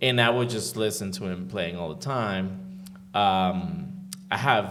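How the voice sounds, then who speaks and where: Lively intonation carries this speech in a Spanish accent, with audible room echo around it. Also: man, fairly low pitch for a man. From Venezuela. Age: 40s. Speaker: sound engineer and producer. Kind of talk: interview. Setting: room with live audience.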